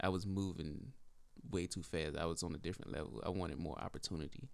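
In an American accent, the speaker talks at a fairly quick pace with lively intonation and vocal fry. Room echo is audible. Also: man. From rural northeastern North Carolina, near Lake Gaston. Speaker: podcast co-host, real estate agent. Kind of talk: casual chat.

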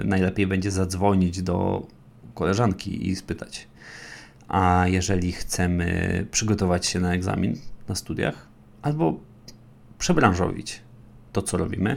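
A man with a very deep, low pitch talks at a fairly slow pace, with ordinary pitch variation and long, frequent pauses. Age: 20s. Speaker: podcast host, big data instructor. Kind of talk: solo educational podcast monologue. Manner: conversational.

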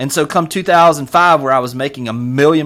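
A man with a Southern US accent at a very fast pace, with ordinary pitch variation. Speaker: real estate brokerage executive. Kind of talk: casual interview. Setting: video call. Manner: fast talker.

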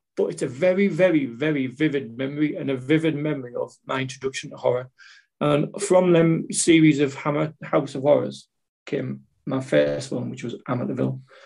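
A man with an ordinary speaking voice talks at a fairly quick pace, his fairly high pitch showing ordinary pitch variation. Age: 40s. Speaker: podcast guest, horror fan. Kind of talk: casual chat.

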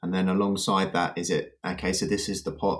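A man with an English accent speaks at a very deep, low pitch on a very clean recording with a silent background. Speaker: financial advisor. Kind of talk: casual chat.

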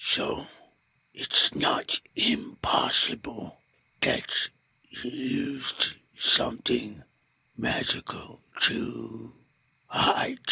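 A raspy, put-on character voice at a very slow pace, broken by long, frequent pauses. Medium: actual play. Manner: formal, measured, precise.

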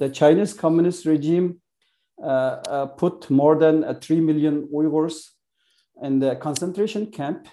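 At a very slow pace, a man with a Xinjiang accent speaks at a fairly high pitch in a dark, mellow tone with fairly even intonation. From East Turkestan. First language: Uyghur. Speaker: author and activist. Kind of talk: interview. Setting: video call. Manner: halting.

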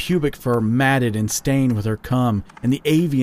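In a natural reading voice, the pitch moves with ordinary variation.

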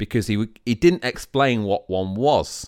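Recorded very cleanly against a silent background, a man's voice comes across dry and close with no echo. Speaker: podcast co-host, law graduate. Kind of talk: casual chat. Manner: emphatic intonation.

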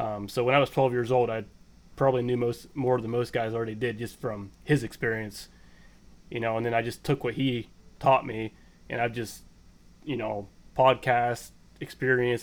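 A man in a western Pennsylvania accent, medium in pitch, monotone and flat, at a moderate pace. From Pennsylvania, small town. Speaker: bow hunting contest moderator, forester. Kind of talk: casual chat.

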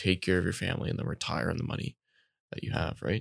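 Very fast speech from a man with a Canadian accent and vocal fry, in a very clean recording with a silent background and a dry, close sound with no echo. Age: 20s. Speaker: podcast co-host. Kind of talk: casual interview.

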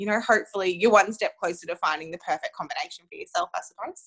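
A woman talks very fast in an Australian accent. The sound is dry and close, with no echo. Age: 20s. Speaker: women's health advocate. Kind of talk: interview.

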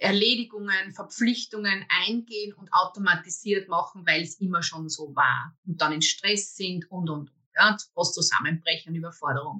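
A woman's medium-pitched voice with a bright, sharp tone, ordinary pitch variation and a fairly slow pace. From Austria, Waldviertel (Lower Austria). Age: 50s. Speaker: personal development coach. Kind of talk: interview, personal story.

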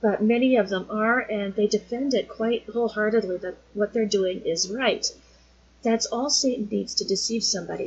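Over noticeable background noise, a woman talks at a moderate pace. Her pitch is fairly high, and her intonation stays fairly even. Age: 40s. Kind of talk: casual teaching monologue.

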